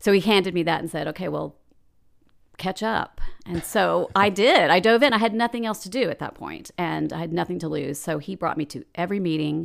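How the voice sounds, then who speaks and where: Fairly low in pitch, a woman with an American accent talks at a fairly quick pace with vocal fry and ordinary pitch variation, in a very clean recording with a silent background. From Dallas, Texas. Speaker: PR agency owner and painter. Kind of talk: casual interview.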